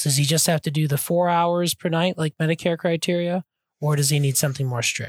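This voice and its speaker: Breathiness runs somewhat through the voice. No background sound intrudes on this very clean recording. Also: man, dry, close sound with no echo. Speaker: sleep physician podcast co-host. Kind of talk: casual interview chat.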